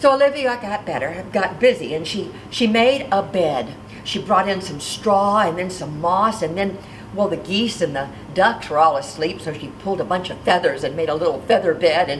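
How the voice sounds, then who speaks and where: Against noticeable background noise, a woman speaks at a medium pitch with lively intonation. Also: moderate pace. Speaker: storyteller. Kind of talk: children's storytelling. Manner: lively, expressive.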